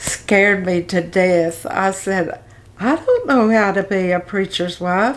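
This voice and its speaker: A woman with an Arkansas accent speaks at a medium pitch and a very slow pace, with very even loudness and ordinary pitch variation, over noticeable background noise. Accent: Southern US (Arkansas). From Arkansas, US South. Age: 80s+. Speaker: retired pastor's wife. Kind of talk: interview testimony. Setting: interview with a fan running. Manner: halting.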